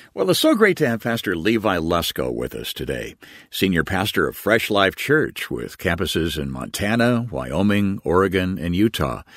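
In a very clean recording with a silent background, a man talks at a moderate pace. His pitch is fairly low, with vocal fry. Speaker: radio program announcer. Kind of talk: scripted narration.

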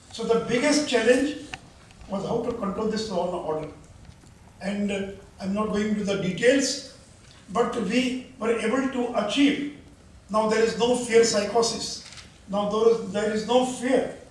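With audible room echo, a high-pitched man speaks in fairly even intonation, leaving long, frequent pauses. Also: moderate pace. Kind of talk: formal speech to an audience. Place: hall.

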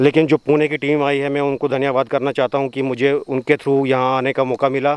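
A man speaks in a flat, monotone intonation. The sound is dry, with no echo. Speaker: travel vlogger on a geology field trip. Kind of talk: casual vlog chat. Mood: relaxed, thankful. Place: open country. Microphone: phone near.

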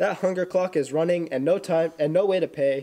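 A man's high voice with ordinary pitch variation. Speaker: student announcer. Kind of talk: school news announcements. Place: classroom.

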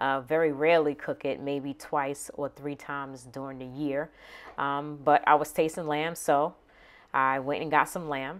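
A woman's very deep, low voice in a flat monotone. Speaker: home cooking channel host. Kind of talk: casual cooking tutorial. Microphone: phone near.

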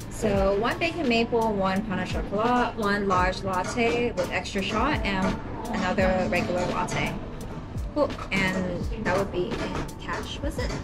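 Over loud background music, a woman speaks at a fairly slow pace with ordinary pitch variation. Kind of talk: service talk with customers. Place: cafe. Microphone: camera far.

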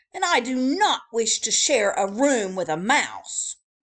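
With lively intonation, the speaker reads in a natural reading voice.

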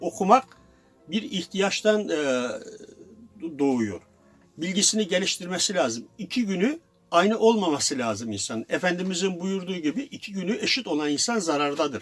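Music plays in the background as the voice moves through very wide pitch swings at a moderate pace. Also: man. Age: 70s. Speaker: former secondhand bookseller. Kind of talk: interview answer.

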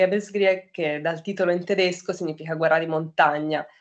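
A woman at a fairly quick pace, fairly low in pitch, with monotone, flat intonation. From Tuscany, Grosseto; Tuscany. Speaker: artist, photographer. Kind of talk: interview monologue. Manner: halting, many fillers. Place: home room. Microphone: webcam.

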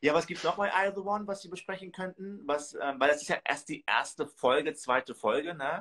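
This man talks at a fairly quick pace in a high pitch. His tone is bright and sharp, with ordinary pitch variation. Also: hardly any pauses, quiet background. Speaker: reality TV commentator. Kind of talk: casual chat. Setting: video call. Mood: amused, gossipy. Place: home room. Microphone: video call.

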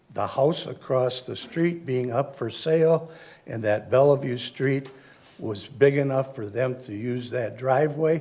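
There is audible room echo as a man with an American accent talks at a medium pitch and a fairly slow pace. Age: 70s. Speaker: resident speaking at public comment. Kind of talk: public comment at council meeting. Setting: city council chamber. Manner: halting, many fillers.

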